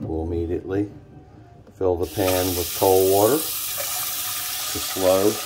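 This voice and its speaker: Over noticeable background noise, a man with a very deep, low pitch talks at a very slow pace with fairly even intonation. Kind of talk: casual cooking tutorial. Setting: home kitchen, background noise.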